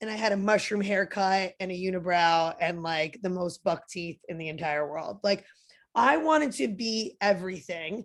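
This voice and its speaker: With big swings in loudness, a woman speaks in an animated tone and lively intonation at a moderate pace against a quiet background. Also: medium pitch for a woman. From New Jersey. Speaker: personal trainer and motivational speaker. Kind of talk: podcast interview.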